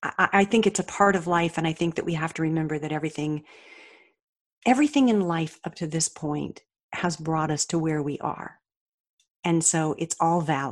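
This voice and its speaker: Over a quiet background, a woman with an unremarkable speaking voice talks at a moderate pace with ordinary pitch variation. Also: fairly low pitch for a woman. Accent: American. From Colorado. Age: 60s. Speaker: author and motivational speaker. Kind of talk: interview. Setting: remote call.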